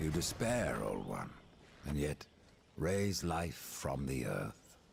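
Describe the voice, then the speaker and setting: A man performs a put-on character voice at a very deep, low pitch and a very slow pace. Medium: video game. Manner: curt, terse.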